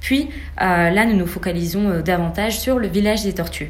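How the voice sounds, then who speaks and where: Noticeable background noise and audible room echo surround the recording. A woman talks at a fairly quick pace with ordinary pitch variation. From Senegal. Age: 20s. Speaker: student. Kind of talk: interview.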